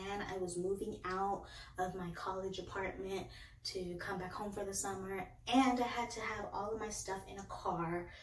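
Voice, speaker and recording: The speech goes at a moderate pace amid audible room echo and light background noise. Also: woman. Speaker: book reviewer. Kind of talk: casual vlog chat. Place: home room. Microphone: phone near.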